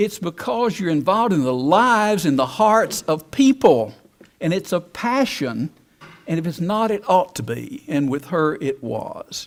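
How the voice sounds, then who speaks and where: A man speaks at a fairly slow pace in a high voice, his pitch swinging very widely. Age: 70s. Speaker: alumni speaker. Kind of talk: speech.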